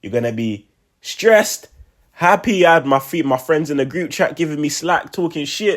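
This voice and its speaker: The recording is very clean, with a silent background. A man talks in a high, animated voice with lively intonation. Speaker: sports fan commentator on video channel. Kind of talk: casual post-game reaction monologue.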